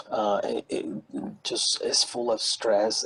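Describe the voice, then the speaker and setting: Recorded dry and close with no reverb, a man speaks with a non-native accent. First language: not English. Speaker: pastor. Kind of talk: testimony. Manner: halting.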